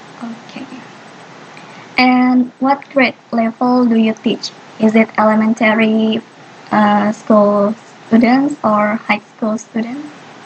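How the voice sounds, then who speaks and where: Over noticeable background noise, a woman with a fairly high pitch speaks very slowly in a flat monotone, with long, frequent pauses. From Indonesia. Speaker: university student interviewer. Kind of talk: student interview.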